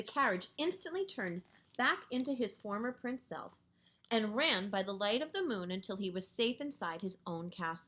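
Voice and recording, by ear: Someone is reading aloud in a natural voice, and the intonation is lively throughout.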